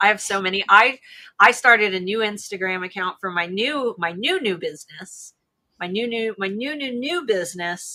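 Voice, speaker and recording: In an American accent, a woman with a bright, sharp tone speaks at medium pitch and a moderate pace. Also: ordinary pitch variation. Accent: Ohio accent, sometimes a little Southern. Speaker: live stream co-host for a seller tools company. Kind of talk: casual chat.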